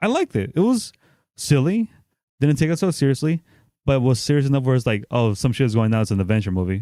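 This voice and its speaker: A man with a medium pitch and a dark, mellow tone speaks very fast with lively intonation. The recording is very clean, with a silent background and a dry, close sound free of echo. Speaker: movie podcast co-host. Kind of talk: casual chat.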